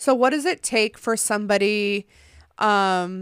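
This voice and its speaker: At a fairly slow pace, a woman with a plain, everyday voice speaks at medium pitch in a very clean recording with a silent background. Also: dry, close sound with no echo. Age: 20s. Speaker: podcast host. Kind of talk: casual chat.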